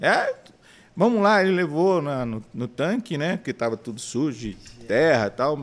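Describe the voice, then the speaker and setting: At a fairly slow pace, a man speaks with a fairly high pitch and very wide pitch swings. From São Paulo city, Brazil. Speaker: businessman and church member. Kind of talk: casual interview.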